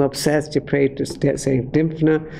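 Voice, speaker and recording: A man speaks at a fairly slow pace. His pitch is fairly high, and his intonation is monotone and flat. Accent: Dublin. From Ireland, Dublin. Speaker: former priest, preacher. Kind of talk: testimony. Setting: speaking to an audience. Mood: earnest, reflective. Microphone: podium.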